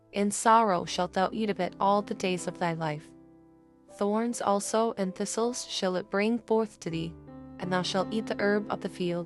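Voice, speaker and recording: A woman at medium pitch and a moderate pace, with ordinary pitch variation and music in the background. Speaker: audio Bible reader. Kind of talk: scripture reading.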